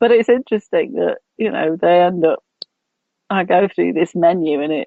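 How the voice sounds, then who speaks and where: Here is a woman with an English accent and a fairly low pitch. Her pace is moderate, and her pitch varies in an ordinary way. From England. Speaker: radio host and coach. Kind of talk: casual chat. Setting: radio show.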